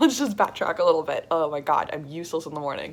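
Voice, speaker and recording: A woman speaks in a fairly low voice on a very clean recording with a silent background. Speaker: vlogger. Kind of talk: personal video diary. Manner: halting; casual.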